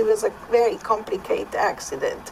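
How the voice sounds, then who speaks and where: With a Swiss accent, a woman talks at a fairly slow pace in a high pitch with ordinary pitch variation, over noticeable background noise. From Switzerland. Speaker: podcast co-host. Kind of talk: personal testimony.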